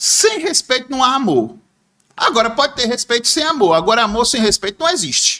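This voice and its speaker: A man's raised, projected voice at an extremely high pitch, bright and sharp in tone, with lively intonation, a fairly quick pace and very even loudness. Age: 60s. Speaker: former bank clerk and businessman, political commentator. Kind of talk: podcast interview.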